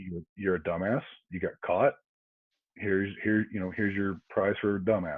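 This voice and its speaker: Moderate pace from a man with an American accent, fairly low pitch and fairly even intonation. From US South. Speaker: former police officer. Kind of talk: casual interview chat.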